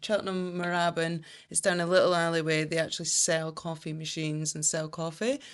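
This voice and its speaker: A woman with a Scottish accent speaks at a fairly quick pace with a fairly low pitch and fairly even intonation. The background is quiet. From Scotland. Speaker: brand strategist. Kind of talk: podcast interview.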